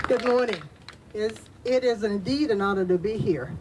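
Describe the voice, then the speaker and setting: A woman speaks at a medium pitch. Background noise is noticeable. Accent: American. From Tampa, Florida (US South). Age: 60s. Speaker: community leader and activist. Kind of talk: speech at a press event.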